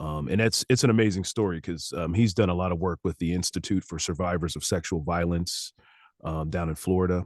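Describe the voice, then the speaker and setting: The fairly quick speech has ordinary pitch variation and a dry, close sound with no echo against a quiet background. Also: man, very deep, low pitch for a man. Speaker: licensed therapist and audiobook narrator. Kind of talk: casual interview answer.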